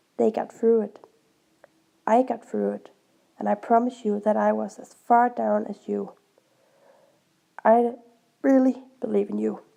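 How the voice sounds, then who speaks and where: A woman with a Danish accent speaks at a fairly slow pace. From Denmark. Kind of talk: casual talk to camera.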